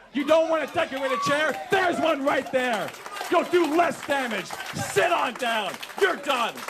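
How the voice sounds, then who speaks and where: Loud and angry, a man with an American accent and an extremely high pitch speaks at a moderate pace with ordinary pitch variation, with audible room echo and noticeable background noise. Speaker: town hall questioner, constituent. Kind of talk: heated confrontation at town hall. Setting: town hall meeting, audience, microphone. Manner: angry, loud.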